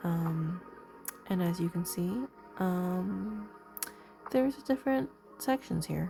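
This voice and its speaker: A woman's fairly low voice with very wide pitch swings, a very slow pace, long and frequent pauses, and music in the background. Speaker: ASMR creator. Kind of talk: sleep ASMR reading aloud. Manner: soft-spoken.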